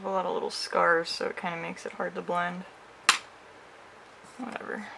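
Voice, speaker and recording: Someone mumbles at a fairly quick pace over noticeable background noise. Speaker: makeup creator. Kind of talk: makeup tutorial talk to camera. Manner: hesitant, mumbling.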